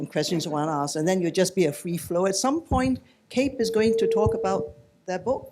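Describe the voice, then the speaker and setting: With a Singaporean accent, a man speaks at a fairly quick pace in a high pitch with lively intonation. Music plays in the background. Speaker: panel moderator. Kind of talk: moderating a panel. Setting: book launch panel with audience. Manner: casual, relaxed.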